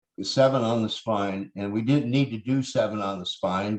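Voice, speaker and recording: A man with a fairly low pitch speaks at a moderate pace in an ordinary speaking voice, his intonation fairly even. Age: 60s. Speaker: chronic pain recovery storyteller. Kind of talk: interview testimony.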